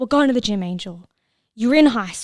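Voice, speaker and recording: Speaking in an Australian accent, a woman uses lively intonation. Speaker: podcast host. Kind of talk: casual podcast monologue. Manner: animated.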